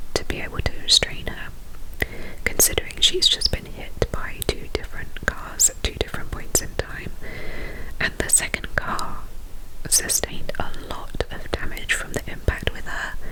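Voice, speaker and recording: Noticeable background noise is present. Through it, a woman whispers. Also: moderate pace. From England. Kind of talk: ASMR true crime storytelling. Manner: whispered.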